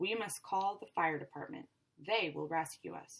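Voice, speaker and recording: The voice is a put-on character. Its pitch lands in the middle range. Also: female-sounding voice, moderate pace. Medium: read story.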